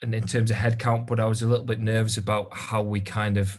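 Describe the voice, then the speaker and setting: A man with a Geordie accent, fairly low in pitch and somewhat breathy, at a fairly quick pace with monotone, flat intonation. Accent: northern English (Geordie). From northern England, Newcastle. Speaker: recruitment business owner. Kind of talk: interview. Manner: hesitant, many fillers.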